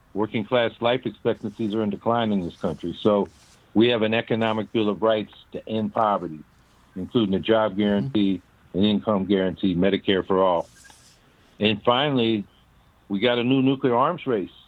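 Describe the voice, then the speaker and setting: This man has an ordinary speaking voice with a fairly low pitch. He keeps a moderate pace and ordinary pitch variation. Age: 60s. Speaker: presidential candidate. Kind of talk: interview. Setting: phone call.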